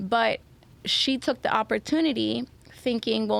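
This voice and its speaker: The speaker is a woman with a Spanish accent. She talks at a moderate pace. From Venezuela. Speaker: Spanish teacher. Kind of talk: podcast interview answer.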